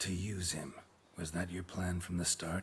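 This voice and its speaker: A man puts on a character voice, very deep and low, speaking at a moderate pace in a flat monotone. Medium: video game. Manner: terse, dry.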